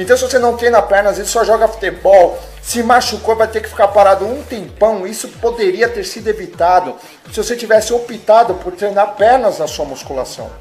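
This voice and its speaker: Speech comes at a moderate pace, its pitch varying in an ordinary way. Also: man. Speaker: fitness vlogger. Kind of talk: casual fitness advice vlog. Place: home room. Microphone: webcam.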